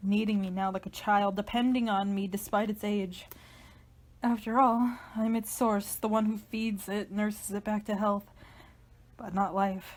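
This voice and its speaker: Intense in tone and somewhat breathy, a woman speaks at a medium pitch and a fairly slow pace with monotone, flat intonation. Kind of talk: dramatic reading of a literary horror monologue. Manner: tense, intense, introspective.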